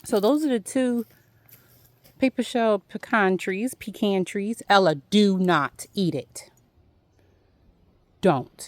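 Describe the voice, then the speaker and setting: A woman with an American accent and a medium pitch speaks at a very slow pace, using long, frequent pauses. Her intonation is lively, and the sound is dry and close with no echo. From Philadelphia, US. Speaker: homesteader vlogger. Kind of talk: casual walk-and-talk vlog. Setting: outdoors.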